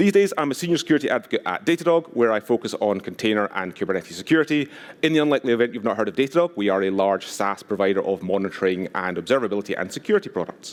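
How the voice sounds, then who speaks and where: In a Scottish accent, a man races along at a very fast pace with hardly any pauses, his medium-pitched voice making very wide pitch swings. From Scotland, West Highlands. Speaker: conference speaker, security advocate. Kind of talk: conference talk.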